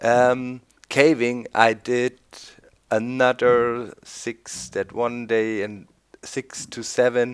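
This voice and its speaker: The surroundings are quiet. A man does the talking. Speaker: gameplay commentator. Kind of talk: casual gameplay commentary. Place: home room. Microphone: studio mic.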